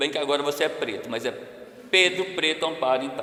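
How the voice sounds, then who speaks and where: The man's fairly high pitch moves with ordinary variation, with noticeable background noise and audible room echo around him. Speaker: researcher and seminar speaker. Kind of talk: academic talk. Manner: loud.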